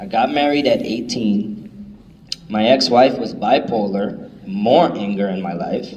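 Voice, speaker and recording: A man's lively intonation at a fairly slow pace, with audible room echo and noticeable background noise. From New York City (Bronx), Puerto Rican family. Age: 30s. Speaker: motivational speaker. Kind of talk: testimony.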